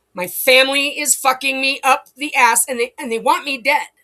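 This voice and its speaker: Raising and projecting her high voice, a woman speaks in an animated, bright and sharp tone. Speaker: video blogger. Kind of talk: agitated monologue. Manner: halting, repeating words.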